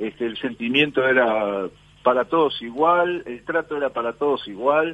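Speaking with a Uruguayan accent, a man with a medium pitch and lively intonation talks at a fairly slow pace. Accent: Rioplatense Spanish (Uruguayan). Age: 50s. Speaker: former footballer and football coach. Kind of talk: radio interview. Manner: halting, many fillers and repetitions.

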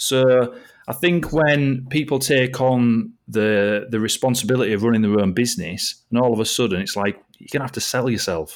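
A man's medium-pitched voice at a moderate pace with ordinary pitch variation, hardly any pauses and big swings in loudness, in a very clean recording with a silent background. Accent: Yorkshire. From East Yorkshire, England. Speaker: sales coach. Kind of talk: casual chat.

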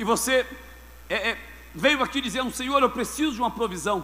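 At a moderate pace, a man speaks in a raised, projected voice of extremely high pitch, animated in tone, with ordinary pitch variation. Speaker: preacher. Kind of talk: sermon to a live congregation, call-and-response. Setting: church with audience, screen for reading. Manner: animated, forceful, rhetorical repetition; exhorting, rhythmic, building in intensity.

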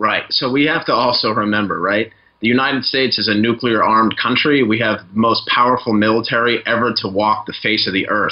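With an ordinary speaking voice and an American accent, a man talks at a fairly quick pace with hardly any pauses, medium pitch and fairly even intonation. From Boston, US. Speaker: sociology lecturer. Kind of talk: panel discussion.

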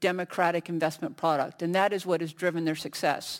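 In an American accent, a woman with an ordinary speaking voice talks at a fairly low pitch with fairly even intonation, on a very clean recording with a silent background. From United States. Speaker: industry researcher on a conference panel. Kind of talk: panel discussion.

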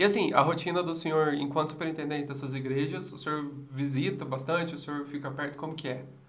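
Talking at a very fast pace, a man uses a fairly high pitch with monotone, flat intonation and big swings in loudness. Audible room echo and noticeable background noise are present. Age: 20s. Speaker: podcast host. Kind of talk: casual interview.

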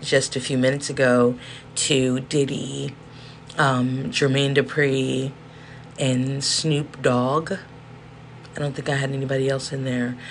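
Speaking at a fairly slow pace, a woman with a hoarse, very deep, low voice keeps her intonation fairly even. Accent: American. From South Central Los Angeles. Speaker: podcast host. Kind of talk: monologue rant, casual. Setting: indoors with space heater whirring.

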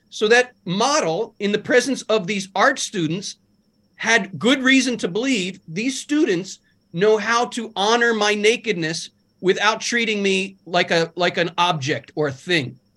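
A man's high, bright, sharp voice, raised and projected, with lively intonation at a fairly slow pace against a quiet background. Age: 50s. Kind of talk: casual interview. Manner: animated.

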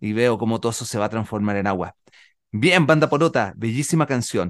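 A man talks at a moderate pace with lively intonation. The sound is dry and close, with no echo. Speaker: children's radio host and musician. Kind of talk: casual radio chat. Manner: animated.

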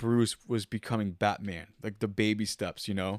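The pace is moderate in an ordinary speaking voice. Nothing sounds behind it, and the recording is very clean. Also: man. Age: 20s. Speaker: artist. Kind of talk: casual chat. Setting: hanging out playing video games.

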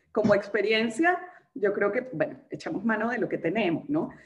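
A woman's fairly high voice swings very widely in pitch as she speaks at a moderate pace. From Venezuela. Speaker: writer. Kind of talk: casual chat.

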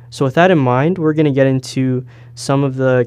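A man with a Toronto accent, at a fairly slow pace. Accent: Toronto Canadian English. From Canada, Toronto area (Brampton). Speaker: podcast host, journalism student. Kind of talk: casual chat.

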